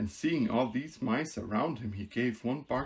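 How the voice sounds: The voice reads in a natural way.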